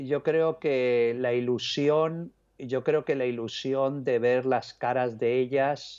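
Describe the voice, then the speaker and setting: A man talks, his pitch varying in an ordinary way. Behind him the background is quiet. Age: 50s. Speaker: journalist and author; journalist. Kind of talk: interview. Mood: reflective, conversational. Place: home room. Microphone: earbuds.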